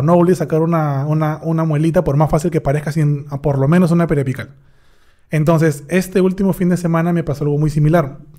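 A man with a dark, mellow tone talks at a very fast pace and with fairly even intonation over a quiet background. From Peru, Huacho. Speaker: dentist. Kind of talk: casual chat. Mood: cheerful, animated storytelling. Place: studio. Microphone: studio mic.

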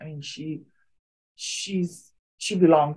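This woman's voice has a very deep, low pitch. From Hawaii. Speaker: activist. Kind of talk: interview. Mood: earnest, advocating. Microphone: video call.

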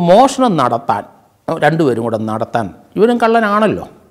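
A man's high-pitched voice with very wide pitch swings over a quiet background. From Kerala, India. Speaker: retired police officer. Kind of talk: storytelling. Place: studio. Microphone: lapel.

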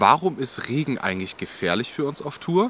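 A man talks at a moderate pace, his pitch swinging very widely. The sound is dry with no echo, and there is light background noise. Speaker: outdoor channel host. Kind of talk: tutorial. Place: forest.

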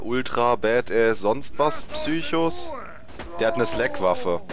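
Speech comes at a very slow pace, with noticeable background noise underneath. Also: man. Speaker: gaming YouTuber. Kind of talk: let's play commentary. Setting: recording session with co-player online. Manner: animated.

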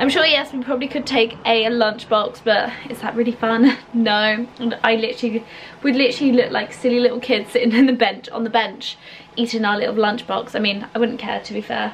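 A woman speaks with monotone, flat intonation. Light background noise can be heard. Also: fairly quick pace. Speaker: lifestyle vlogger. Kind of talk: casual vlog chat. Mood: cheerful, laughing. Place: home room. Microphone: phone near.

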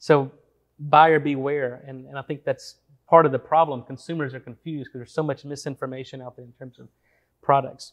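Against a quiet background, a man talks at a fairly quick pace in a fairly high voice. His intonation is monotone and flat, with big swings in loudness. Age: 40s. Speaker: biochemist and supplement entrepreneur. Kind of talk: interview. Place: studio. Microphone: lapel.

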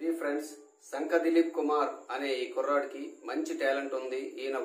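There is audible room echo around a man's fairly high voice. His intonation is monotone and flat. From Srikakulam, Andhra Pradesh; Andhra Pradesh, India. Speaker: YouTube interviewer, teacher. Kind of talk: interview. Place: studio.

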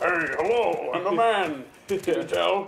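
A man's put-on character voice, high-pitched and fairly slow-paced, over sound effects in the background.

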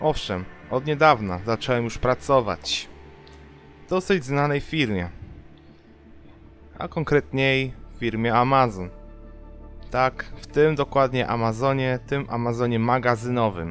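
A man talks at a fairly slow pace with long, frequent pauses, ordinary pitch variation and big swings in loudness. Faint music plays in the background, and the sound is dry with no echo. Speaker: youtuber. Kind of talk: casual vlog chat. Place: home room. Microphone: webcam.

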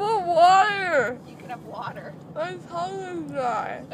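A woman's high voice with very wide pitch swings, at a fairly slow pace over noticeable background noise. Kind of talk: casual chat. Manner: groggy, slurred, dry numb mouth. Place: car. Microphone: phone near.

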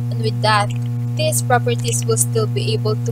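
A woman at a moderate pace, dry sound with no echo, loud background noise. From Philippines. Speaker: student presenter. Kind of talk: class report. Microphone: phone near.

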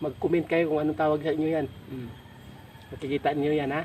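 This man talks at a very fast pace. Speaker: video creator. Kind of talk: casual vlog talk to viewers. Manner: animated, teasing; stumbling over words.

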